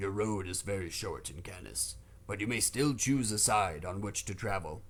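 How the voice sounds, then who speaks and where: A man's put-on character voice, fairly low in pitch and moderate in pace, over clear background noise. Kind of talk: solemn religious legend. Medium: read story. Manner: stern, stately.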